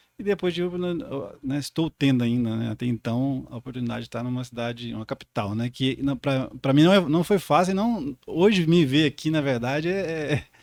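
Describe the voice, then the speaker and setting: Recorded dry and close with no echo, a man talks at a moderate pace. His pitch is fairly high and his intonation lively. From rural southern Minas Gerais, Brazil. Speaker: podcast co-host, geographer. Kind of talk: podcast conversation. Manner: halting, many repetitions and fillers.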